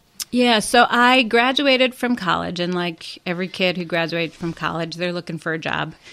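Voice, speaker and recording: A woman's bright, sharp voice, fairly low in pitch, in a Chicago accent, with lively intonation at a moderate pace, hardly any pauses, on a very clean recording with a silent background. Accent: Chicago American. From Chicago, southwest side. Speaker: political strategist and commentator. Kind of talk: interview conversation.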